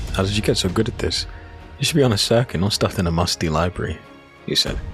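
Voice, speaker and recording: A man speaks with a very deep, low pitch while music plays in the background. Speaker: narrator. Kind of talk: audio drama narration.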